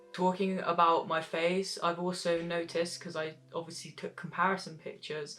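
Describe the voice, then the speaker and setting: With music in the background, a man with a high voice talks in a monotone, flat intonation with hardly any pauses. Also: moderate pace. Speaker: transgender vlogger. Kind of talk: personal vlog monologue. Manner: casual, with fillers.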